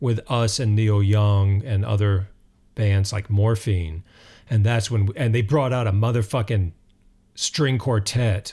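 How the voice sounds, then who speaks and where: A man speaks in a dark, mellow, somewhat breathy tone at very even loudness on a very clean recording with a silent background. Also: fairly low pitch for a man, fairly even intonation, fairly slow pace. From North Carolina mountains. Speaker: musician and writer. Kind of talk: casual interview.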